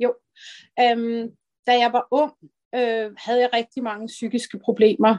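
Recorded dry and close with no echo, a woman talks in a fairly high voice. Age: 50s. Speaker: early retiree sharing weight-loss story. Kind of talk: personal testimony interview. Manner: halting, many fillers.

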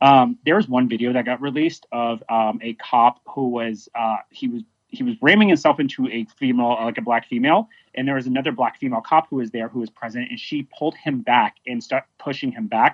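With an American accent and a normal speaking voice, a man talks at a fairly quick pace, his medium pitch showing ordinary pitch variation. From Dallas area, Texas. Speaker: protest participant, activist. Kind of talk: interview. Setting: phone or video call.

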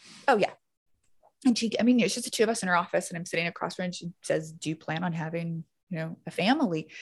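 Somewhat breathy and very fast, this woman speaks at a fairly low pitch with ordinary pitch variation. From Louisiana, Baton Rouge. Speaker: public health doctor and nonprofit director. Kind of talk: casual chat.

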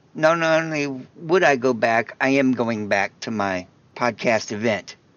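His pitch shows ordinary variation. The man talks at a very slow pace. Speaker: caregiving podcaster. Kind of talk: recorded voicemail message.

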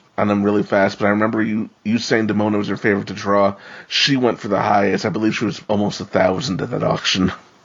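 Speaking at a very fast pace with hardly any pauses, a man with a fairly low pitch talks in a monotone, flat intonation over noticeable background noise. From New York. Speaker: podcast co-host. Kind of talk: casual discussion.

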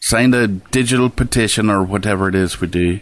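Against a quiet background, a man with an Irish accent speaks at a moderate pace and a fairly low pitch. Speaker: podcast co-host. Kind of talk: casual chat.

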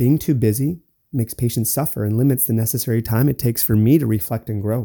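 A man speaks at a medium pitch with ordinary pitch variation and a dark, mellow tone. The sound is dry and close, with no echo. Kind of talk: solo podcast monologue. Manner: stutters and stumbles.

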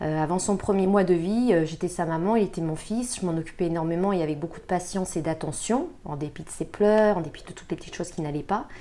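Here is an unremarkable speaking voice with ordinary pitch variation. The pace is fairly quick, with hardly any pauses. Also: woman, fairly low pitch for a woman. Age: 40s. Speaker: communication consultant and mother. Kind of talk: interview testimony.

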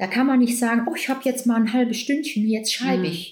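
A woman's fairly high-pitched voice. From Belgium (Flanders). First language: Dutch (speaking German). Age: 60s. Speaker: doctor and author. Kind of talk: casual interview. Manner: laughs a lot.

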